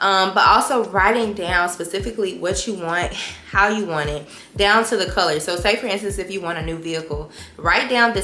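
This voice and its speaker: There is noticeable background noise as a woman speaks at a fairly quick pace. Her pitch is medium, with ordinary pitch variation. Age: 20s. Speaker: lifestyle YouTuber. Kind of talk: casual talk to camera.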